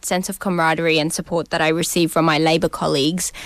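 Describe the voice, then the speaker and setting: With an Australian accent, a woman comes through a very clean recording with a silent background and a dry, close sound with no echo. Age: 20s. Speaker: senator. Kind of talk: interview.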